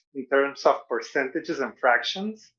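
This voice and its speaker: A raised, projected voice in a Venezuelan accent, bright and sharp in tone, at a moderate pace over a quiet background. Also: man. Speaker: stand-up comedian. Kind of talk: stand-up.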